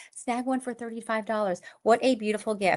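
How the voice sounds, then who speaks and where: Against a quiet background, a woman speaks with a slight New York accent, her fairly high pitch carrying a bright, sharp tone. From Long Island, New York. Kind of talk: live sales pitch. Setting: live stream. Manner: fast.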